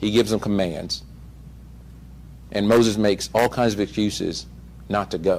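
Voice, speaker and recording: Using vocal fry, a man speaks in a fairly low pitch at a moderate pace, with lively intonation and long, frequent pauses. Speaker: lay preacher. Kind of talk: sermon. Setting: church service. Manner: halting, stutters while reading.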